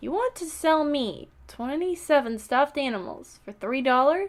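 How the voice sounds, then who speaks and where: Putting on a character voice, a woman speaks at a high pitch with lively intonation. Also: moderate pace. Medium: read story. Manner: pleasant, polite.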